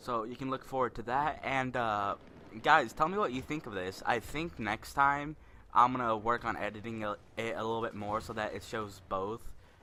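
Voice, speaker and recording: This man's voice has a bright, sharp tone and ordinary pitch variation. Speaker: gaming commentator. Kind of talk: gameplay commentary. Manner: fast.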